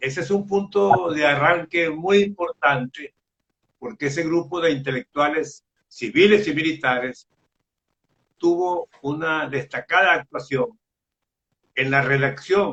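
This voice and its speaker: With long, frequent pauses, a man speaks at a very slow pace in a fairly high pitch. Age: 80s+. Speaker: journalist. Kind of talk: interview.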